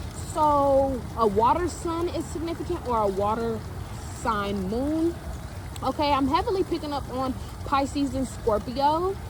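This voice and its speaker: A woman with an American accent speaks at a fairly slow pace with a high pitch and lively intonation. Noticeable background noise is present. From San Francisco Bay Area, California. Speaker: spiritual reader and channeler. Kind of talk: collective spiritual reading, casual talk to camera. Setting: outdoors by a pond. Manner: casual, slangy, repetitive.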